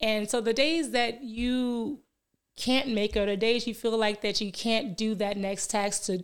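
A woman with an American accent speaks in a plain, everyday voice at a fairly high pitch. Her pace is moderate and her intonation fairly even, on a very clean recording with a silent background. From Milwaukee, Wisconsin. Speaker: fitness business owner and life coach. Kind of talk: podcast interview. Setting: studio.

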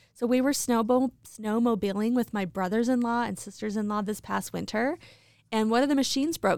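A woman with an unremarkable speaking voice, medium in pitch with ordinary pitch variation, in a very clean recording with a silent background and a dry, close sound with no echo. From Idaho Falls, Idaho. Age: 40s. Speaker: podcast co-host. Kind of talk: casual chat.

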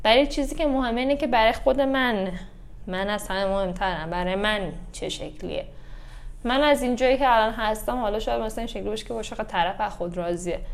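A woman talks at a very fast pace with lively intonation. Audible room echo surrounds her voice. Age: 30s. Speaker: yoga instructor. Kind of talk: casual chat.

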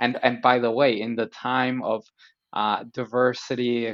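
Speaking with an American accent, a man talks at a medium pitch. His intonation stays fairly even, and his pace is fairly slow. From Colombia, then United States from age 10. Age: 30s. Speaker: immigrant guest. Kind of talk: casual interview conversation. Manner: hesitant with many fillers and repetitions.

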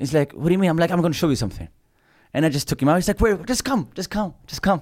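Talking at a very fast pace, a man with a fairly high pitch uses lively intonation and vocal fry in a very clean recording with a silent background. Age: 20s. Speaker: comedian. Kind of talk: casual chat.

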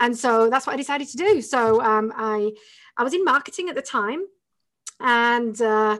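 A woman talks in an English accent with a high pitch. Her background is quiet. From northern England. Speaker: entrepreneur and business coach. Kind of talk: interview.

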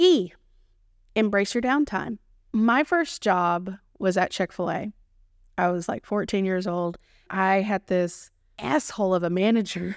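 On a very clean recording with a silent background, a woman with an American accent speaks at medium pitch in an animated, warm tone, fairly slowly, with ordinary pitch variation and long, frequent pauses. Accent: Texan, noticeable when passionate. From Texas. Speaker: podcast host and food photographer. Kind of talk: casual solo podcast monologue. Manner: animated, warm, chatty.

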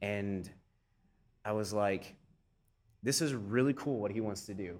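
On a very clean recording with a silent background, the speaker's intonation stays fairly even. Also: man. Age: 30s. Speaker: fitness director and personal trainer. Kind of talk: casual interview conversation.

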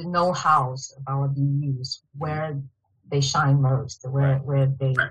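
A woman speaks with a Chinese accent. Her voice is somewhat breathy and very deep, low in pitch. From China, Shanghai. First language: Mandarin Chinese. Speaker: field applications engineer. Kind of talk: interview. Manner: halting with fillers.

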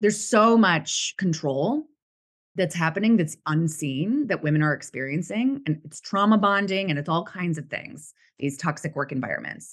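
Her voice fairly low, a woman speaks with very wide pitch swings against a quiet background. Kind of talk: casual interview. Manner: passionate, animated.

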